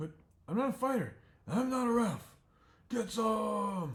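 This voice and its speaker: This man puts on a character voice. His pitch sits high. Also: fairly slow pace. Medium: read story. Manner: nervous.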